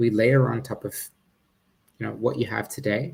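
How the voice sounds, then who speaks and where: A man with an Australian accent, medium pitch, vocal fry and a fairly quick pace. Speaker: startup founder and CEO. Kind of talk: startup pitch presentation. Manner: halting, many fillers.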